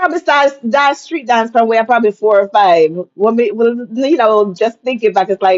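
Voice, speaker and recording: Speaking with a Jamaican accent at a moderate pace, the voice has lively intonation, very even loudness and hardly any pauses. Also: woman, fairly high pitch for a woman. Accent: Jamaican, with patois. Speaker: storyteller recounting her childhood. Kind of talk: casual conversational interview.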